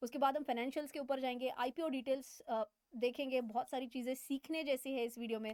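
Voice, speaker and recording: Her high-pitched voice moves at a moderate pace, the woman recorded dry and close with no echo. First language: not Hindi (speaking Hindi). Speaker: finance educator, chartered accountant. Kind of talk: financial explainer tutorial. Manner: halting with fillers; casual, conversational.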